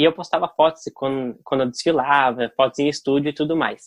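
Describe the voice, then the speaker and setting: A man with a fairly high pitch and fairly even intonation has a plain, everyday voice. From Brazil, Curitiba. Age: 20s. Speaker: digital influencer. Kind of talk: interview.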